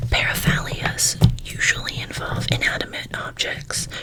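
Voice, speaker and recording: Noticeable background noise fills the clip. Through it, a woman whispers at a fairly slow pace. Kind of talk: ASMR true crime talk. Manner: soft-spoken.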